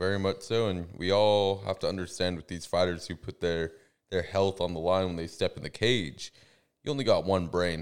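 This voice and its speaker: With an American accent and a very deep, low pitch, a man speaks at a moderate pace on a very clean recording with a silent background. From Central California. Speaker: MMA podcast co-host. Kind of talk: casual chat. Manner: animated.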